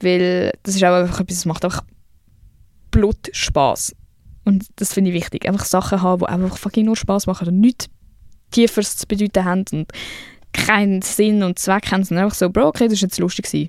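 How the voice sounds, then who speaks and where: Speaking at a fairly quick pace but with long, frequent pauses, a woman of medium pitch has a Swiss accent. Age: 20s. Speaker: podcast host. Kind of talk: casual monologue. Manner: animated.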